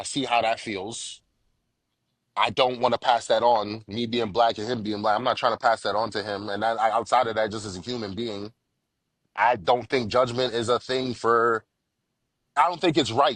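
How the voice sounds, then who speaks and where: Against a quiet background, a man with an ordinary speaking voice and medium pitch talks at a moderate pace with fairly even intonation. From Jamaica, moved to US around age six. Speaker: father sharing his parenting story. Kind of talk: casual podcast interview. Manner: casual, repetitive with frequent bro and false starts.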